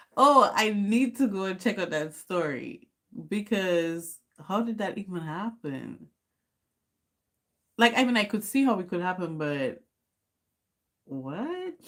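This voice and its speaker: A woman of medium pitch speaks at a fairly slow pace with very wide pitch swings and long, frequent pauses. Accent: Caribbean. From Dominica. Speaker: YouTuber. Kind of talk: casual livestream chat. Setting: livestream at home.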